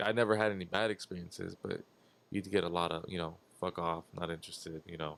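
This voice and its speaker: Calm in tone, a man speaks with a very deep, low pitch and fairly even intonation. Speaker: podcast guest, former car salesman. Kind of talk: casual chat. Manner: monotone; calm, quiet.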